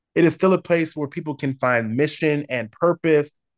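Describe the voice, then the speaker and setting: A man with an unremarkable speaking voice and an American accent, fairly high-pitched, with ordinary pitch variation and a fairly quick pace, in a dry, close sound with no echo and a quiet background. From San Diego, California. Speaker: worship pastor. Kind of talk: casual chat.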